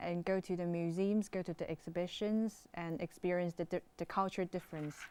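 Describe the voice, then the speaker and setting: With a Chinese accent, a woman talks at a moderate pace in a fairly low pitch, her intonation monotone and flat. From China. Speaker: international student. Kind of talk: interview. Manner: halting.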